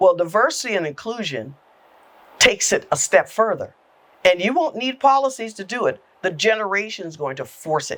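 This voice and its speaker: A woman with an American accent speaks at a fairly high pitch and a moderate pace, her pitch swinging very widely and her loudness swinging a lot. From South Carolina Lowcountry (Awendaw). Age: 60s. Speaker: government agency executive director. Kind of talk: podcast interview.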